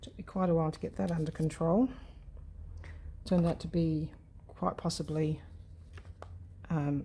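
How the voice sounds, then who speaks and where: A woman speaks with a very deep, low pitch and a dark, mellow tone that is somewhat breathy. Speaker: craft youtuber. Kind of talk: casual chat while crafting. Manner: soft-spoken, muttering to herself.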